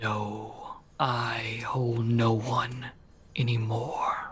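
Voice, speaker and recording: Using a put-on character voice, a man growls at a medium pitch in a solemn tone and at a very slow pace. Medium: actual play. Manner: solemn, terse.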